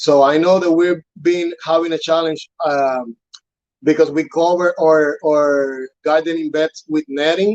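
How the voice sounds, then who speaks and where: A man with a Spanish accent and fairly high pitch speaks at a fairly slow pace with fairly even intonation, the sound dry and close with no echo. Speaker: urban farm staff trainer. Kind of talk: interview on live broadcast. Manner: halting, many fillers and repetitions.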